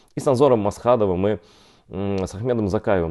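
Against a quiet background, a man speaks at a fairly low pitch in a dark, mellow tone. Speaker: journalist. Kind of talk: online interview. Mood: serious, earnest. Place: home room. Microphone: poor internet connection; lapel.

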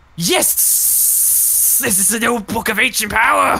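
This put-on character voice sits at a fairly high pitch. It moves at a fairly slow pace. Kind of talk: comic overacting. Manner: impatient, grandiose.

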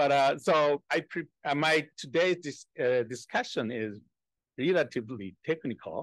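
A fairly slow pace in a Japanese accent, with ordinary pitch variation and a dry sound with no echo against a quiet background. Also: man, fairly high pitch for a man. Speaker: economics professor, discussant; economics professor. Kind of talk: academic discussion. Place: meeting room. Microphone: podium.

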